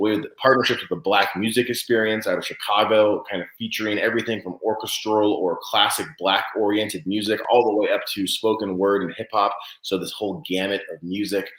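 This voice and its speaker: A man talks at a fairly quick pace with hardly any pauses. His fairly low voice keeps a fairly even intonation. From California (Santa Cruz). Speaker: event organizer. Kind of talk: interview. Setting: live online show. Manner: fast.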